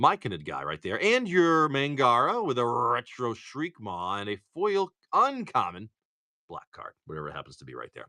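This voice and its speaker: A man talks at a moderate pace in a Boston accent, with big swings in loudness. The sound is dry and close with no echo, against a quiet background. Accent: Massachusetts (Boston). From Massachusetts. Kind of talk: casual.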